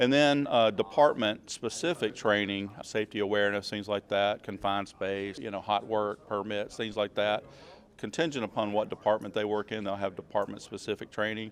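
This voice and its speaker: Fairly even in intonation, a man with a Southern US accent talks at a fairly low pitch and a fairly quick pace. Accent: Southern US (Georgia). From US South, Georgia. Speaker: emergency preparedness manager. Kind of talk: interview. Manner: hesitant, many fillers.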